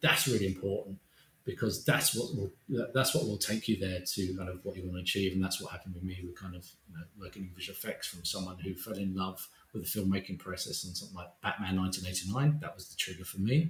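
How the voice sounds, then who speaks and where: A man talks at a very fast pace with a very deep, low pitch and an Essex accent. His loudness swings widely, while his pitch variation is ordinary. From Essex, England. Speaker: visual effects supervisor. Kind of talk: interview.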